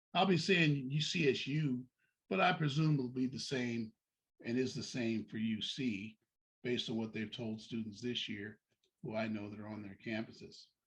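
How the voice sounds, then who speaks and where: The man has an ordinary speaking voice at medium pitch, with ordinary pitch variation. His moderate pace comes with big swings in loudness. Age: 60s. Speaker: deacon giving college admissions advice. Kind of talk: informational talk to parents with slides.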